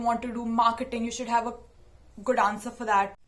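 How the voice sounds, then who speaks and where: A woman's voice is fairly high and monotone, with flat intonation. Audible room echo surrounds it. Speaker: YouTuber. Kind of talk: casual talk to camera. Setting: sit-down video.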